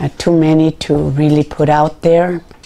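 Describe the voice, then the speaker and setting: The speaker talks at a fairly slow pace with an American accent. Noticeable background noise can be heard. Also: woman. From California, Santa Barbara. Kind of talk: interview testimony. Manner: halting, with many fillers.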